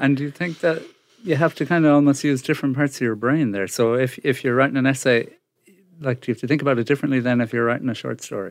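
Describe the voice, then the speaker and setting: Talking at a very fast pace, a man with an Irish accent has a medium pitch and ordinary pitch variation against a quiet background. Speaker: podcast presenter and producer. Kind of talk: interview and show introduction.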